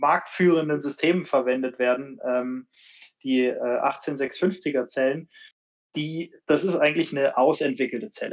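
Over a quiet background, a man with a fairly high pitch speaks at a very slow pace. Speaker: bike brand marketing manager. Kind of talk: casual live stream chat. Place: home room. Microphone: video call.

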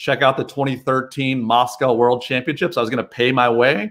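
At a moderate pace, a man speaks in an American accent with fairly even intonation. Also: quiet background. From US, Chicago area. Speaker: podiatrist and marketing business owner; guest. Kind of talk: casual interview chat. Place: home room. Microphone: video call.

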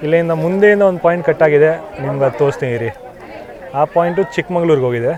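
A man's fairly high-pitched voice against crowd noise in the background. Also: ordinary pitch variation. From Uttar Pradesh, India. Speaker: travel vlogger. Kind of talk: travel vlog narration. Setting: on a moving train. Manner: casual, English-mixed.

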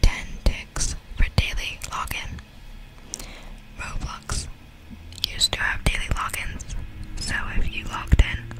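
Someone whispers at a fairly slow pace with long, frequent pauses over noticeable background noise. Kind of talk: ASMR whisper reading of Roblox facts. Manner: whispered, soft-spoken.

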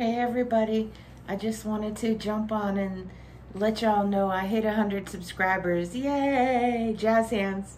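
A woman speaks at a fairly high pitch and a fairly slow pace, with fairly even intonation. Light background noise can be heard. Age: 50s. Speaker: vlogger housewife. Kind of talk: casual vlog. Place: home room.

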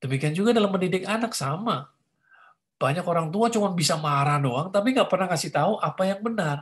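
A man's high voice at a very fast pace, with lively intonation, very even loudness and a quiet background. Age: 50s. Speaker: pastor. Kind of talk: teaching talk. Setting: video call. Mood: warm, conversational. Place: home room. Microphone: video call.

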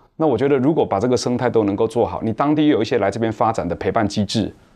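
A man's voice, with ordinary pitch variation, is heard over a quiet background. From Taiwan, Nantou; Taiwan. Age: 40s. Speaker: cultural entrepreneur; guest. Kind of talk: panel discussion. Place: studio. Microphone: lapel.

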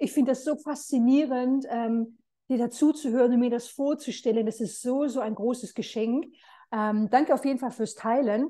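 A high-pitched woman's voice with a dark, mellow tone, fairly even intonation and a moderate pace. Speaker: interviewer. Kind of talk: casual interview. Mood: warm, admiring. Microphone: video call.

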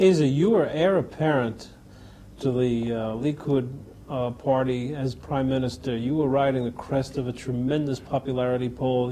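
Over light background noise, a man with an American accent speaks in an unremarkable speaking voice, at a medium pitch and moderate pace with fairly even intonation. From United States. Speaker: TV interviewer. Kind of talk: interview. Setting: government office in Jerusalem. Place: studio. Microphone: lapel.

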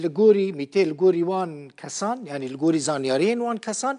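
With a Kurdish accent, a man speaks at a moderate pace and high pitch with lively intonation over a quiet background. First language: Kurdish (speaking Arabic). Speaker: news presenter. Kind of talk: news reading. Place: studio. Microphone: lapel.

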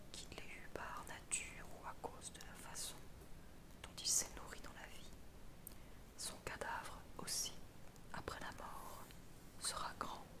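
A woman speaks at a very slow pace, leaving long, frequent pauses. Loud background noise fills the recording. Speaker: ASMR reader. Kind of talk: philosophy text reading.

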